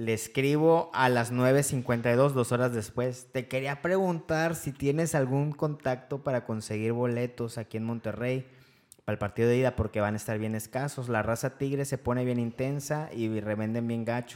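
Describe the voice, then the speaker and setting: A man with an unremarkable speaking voice, medium in pitch, with fairly even intonation at a moderate pace. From Veracruz, Mexico. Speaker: football fan podcast co-host. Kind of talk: casual chat.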